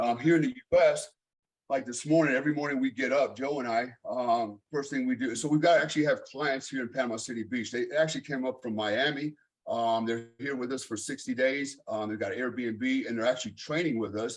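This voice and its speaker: A man with an American accent speaks at a fairly quick pace with medium pitch. He has a plain, everyday voice with fairly even intonation. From Germany. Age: 50s. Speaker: fitness coach. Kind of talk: casual chat.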